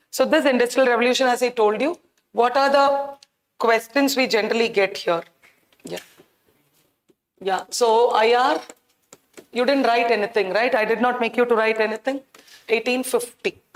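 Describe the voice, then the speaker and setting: A loud, high-pitched woman's voice at a moderate pace, with ordinary pitch variation and long, frequent pauses. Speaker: teacher. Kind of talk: lecture. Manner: animated.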